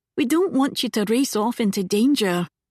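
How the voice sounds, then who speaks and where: A quiet, shaky, put-on character voice from a woman, fairly high in pitch at a moderate pace, with a dry, close sound and no echo. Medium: read story. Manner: quiet, trembling with emotion.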